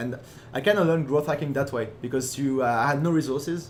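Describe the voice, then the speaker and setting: Talking at a very fast pace, a man keeps a medium pitch and fairly even intonation. The room around him echoes audibly. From born in Germany. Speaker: entrepreneur and growth hacker. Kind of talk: podcast interview. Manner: halting, many fillers.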